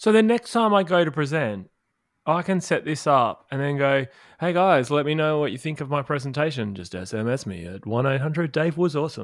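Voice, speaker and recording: On a very clean recording with a silent background, a man talks at a fairly quick pace with fairly high pitch and very wide pitch swings. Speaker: podcast host. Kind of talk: casual interview chat. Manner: playful, joking.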